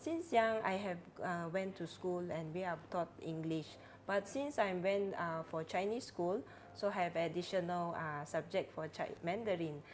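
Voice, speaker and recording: A woman with a Cantonese accent at a fairly slow pace, with ordinary pitch variation and music in the background. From Penampang, Sabah, Malaysia. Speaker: religious sister. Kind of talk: casual interview. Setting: studio.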